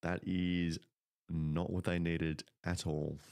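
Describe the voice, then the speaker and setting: A man with an Australian accent speaks in a very deep, low pitch. His intonation is monotone and flat. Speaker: football commentator. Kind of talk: live commentary. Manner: soft-spoken. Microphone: mic cutting in and out.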